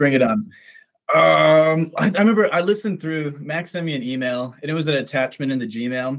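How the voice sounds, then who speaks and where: A man with an American accent has a normal speaking voice and a fairly high pitch. He speaks at a fairly quick pace with lively intonation. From Minnesota, US. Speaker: musician. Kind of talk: casual interview.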